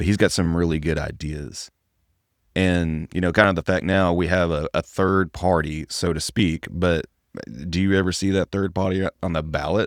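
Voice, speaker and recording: In a very clean recording with a silent background and a dry, close sound with no echo, a man with a Texan accent talks at a moderate pace in a very deep, low pitch with fairly even intonation. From Texas. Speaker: podcast host. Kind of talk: casual chat.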